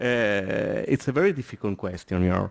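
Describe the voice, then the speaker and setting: A man in an Italian accent, with ordinary pitch variation. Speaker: architect on a seminar panel. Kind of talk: panel discussion. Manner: halting, many hesitations.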